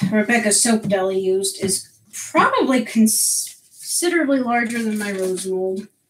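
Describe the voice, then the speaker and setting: A fairly high-pitched woman with an American accent, moderate pace, and ordinary pitch variation. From US Northeast, Connecticut. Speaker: soap maker streamer. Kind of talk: live stream chat. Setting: live stream at home. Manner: animated.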